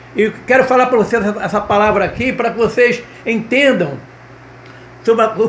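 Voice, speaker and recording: Through audible room echo and noticeable background noise, a man with an extremely high pitch speaks at a moderate pace. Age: 70s. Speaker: pastor and gospel singer. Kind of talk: sermon-style video message. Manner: halting, frequent repetitions and tag 'tá?'.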